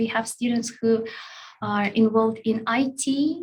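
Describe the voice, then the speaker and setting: The speaker talks at a fairly slow pace in a Russian accent with fairly even intonation. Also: woman. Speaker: language school staff. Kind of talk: online Q&A session. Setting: live online session. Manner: hesitant, many fillers.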